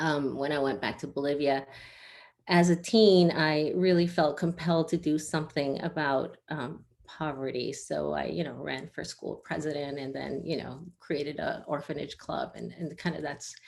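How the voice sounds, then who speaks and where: A woman's very deep, low voice with vocal fry, fairly even intonation and a moderate pace. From raised in Asia, Bolivian family. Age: 50s. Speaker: finance executive. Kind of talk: interview. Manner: hesitant, many fillers.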